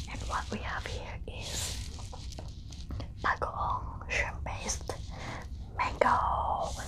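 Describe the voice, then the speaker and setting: A woman talks at a very slow pace, leaving long, frequent pauses, while noticeable background noise carries on. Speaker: ASMR eating channel host. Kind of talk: casual talk to camera, ASMR mukbang intro. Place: home room.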